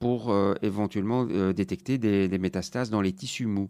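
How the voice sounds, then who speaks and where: A man with a normal speaking voice, at a moderate pace with ordinary pitch variation. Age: 40s. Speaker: urologist. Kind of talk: interview.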